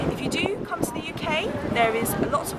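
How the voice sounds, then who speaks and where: A woman with a British accent, fairly high pitch and lively intonation at a moderate pace, over noticeable background noise. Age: 20s. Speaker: English teacher. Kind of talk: casual talk to camera. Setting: outdoors.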